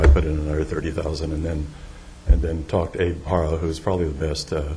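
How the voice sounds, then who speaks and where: Rushing at a very fast pace, a man with a very deep, low pitch speaks in a monotone, flat intonation, with noticeable background noise and audible room echo. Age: 70s. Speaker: property developer speaking at public comment. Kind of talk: public comment at council meeting. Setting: council chamber podium. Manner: halting, many fillers.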